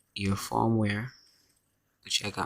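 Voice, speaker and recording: A man speaks quietly at a very slow pace. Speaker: phone repair tutorial maker. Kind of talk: tutorial. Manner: speaking quietly.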